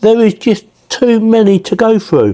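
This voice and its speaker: With an English accent, a man is talking. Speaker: tech product reviewer. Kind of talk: product review. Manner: casual.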